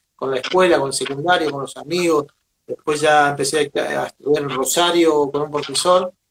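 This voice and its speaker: A man with ordinary pitch variation and an ordinary speaking voice. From Argentina, Venado Tuerto, southern Santa Fe. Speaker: drummer and percussionist. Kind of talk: interview.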